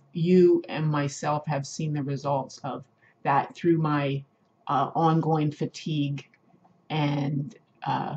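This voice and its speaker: A woman speaks at a very slow pace with a very deep, low pitch. Her voice is somewhat breathy, with fairly even intonation. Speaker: video blogger living with multiple sclerosis. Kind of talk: casual talk to camera. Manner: slow speech with hesitations and word-finding difficulty.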